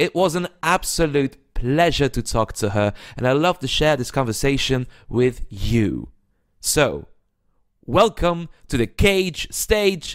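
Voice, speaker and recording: On a very clean recording with a silent background, a man with a fairly high pitch talks at a very slow pace with lively intonation. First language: Dutch. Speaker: podcast host. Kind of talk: casual interview. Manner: halting.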